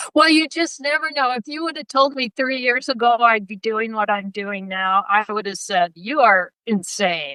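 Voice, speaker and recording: Recorded dry and close with no echo, a woman with an American accent talks at a moderate pace with hardly any pauses, her fairly high voice bright and sharp, her intonation lively. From Idaho, US. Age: 70s. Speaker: psychologist. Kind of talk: interview.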